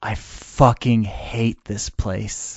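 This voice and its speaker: In a put-on character voice, a man speaks quietly at a medium pitch. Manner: hushed.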